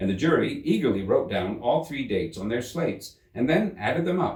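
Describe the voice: Here is plain reading aloud. Words come straight off the page.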